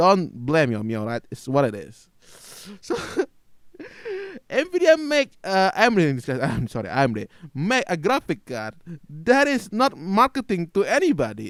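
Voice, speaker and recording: A man speaks at a high pitch and a moderate pace, with long, frequent pauses. His pitch swings very widely, and his loudness swings a lot too. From Asia, non-English-speaking country. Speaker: gaming YouTuber. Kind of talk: opinion rant video. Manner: halting, with fillers and restarts.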